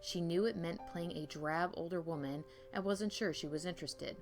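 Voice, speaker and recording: Woman's voice of fairly low pitch, with music in the background. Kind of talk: ASMR history narration.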